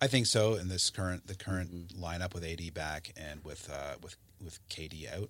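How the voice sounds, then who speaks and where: Very deep, low male pitch with ordinary variation, big swings in loudness, a moderate pace. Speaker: podcast host and dad. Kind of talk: casual family podcast chat. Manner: friendly, chatty, easygoing.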